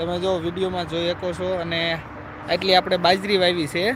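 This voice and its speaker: High-pitched man with monotone, flat intonation, amid noticeable background noise. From Gujarat, Saurashtra (near Chotila). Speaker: village vlogger and farmer. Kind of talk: live stream chat. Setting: outdoors in a farm field.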